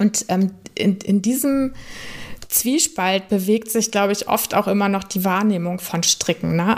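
A woman with medium pitch speaks at a fairly slow pace amid noticeable background noise. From northern Germany. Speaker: podcast host and knitwear designer. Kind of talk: casual interview.

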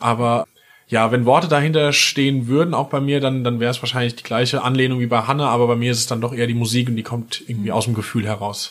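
The man's pitch is medium and his intonation fairly even. He talks at a very fast pace. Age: 30s. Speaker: musician. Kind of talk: casual interview. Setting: recording studio.

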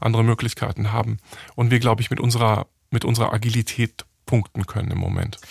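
A man talks at a fairly quick pace with a medium pitch, fairly even intonation and vocal fry. The sound is dry and close, with no echo. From Germany, Hamburg. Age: 40s. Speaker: entrepreneur. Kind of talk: interview.

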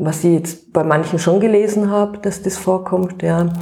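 A plain, everyday voice from a woman, fairly low in pitch, with fairly even intonation at a moderate pace. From Austria, Tyrol (Innsbruck). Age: 40s. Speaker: cookbook author and mother. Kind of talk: interview.

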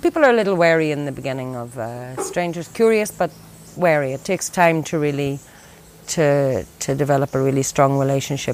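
A woman's very deep, low voice in an Irish accent. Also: ordinary pitch variation. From Ireland. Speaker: conservation worker. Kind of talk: interview.

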